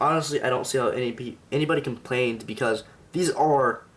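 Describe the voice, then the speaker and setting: A man mumbling at a medium pitch with fairly even intonation. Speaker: toy reviewer. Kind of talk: product review. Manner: halting.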